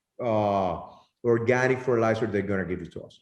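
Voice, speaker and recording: A man with a Spanish accent. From Nicaragua, Estelí. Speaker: tobacco grower. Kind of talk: interview answers. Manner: halting.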